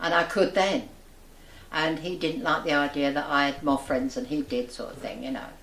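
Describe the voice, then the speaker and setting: Noticeable background noise sits behind a woman with a very deep, low voice. She speaks at a moderate pace with lively intonation. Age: 80s+. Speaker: local resident, amateur writer and poet. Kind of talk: interview.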